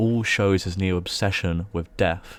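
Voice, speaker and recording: Fairly even intonation marks a man's very deep, low voice. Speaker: video essayist. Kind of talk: video essay narration.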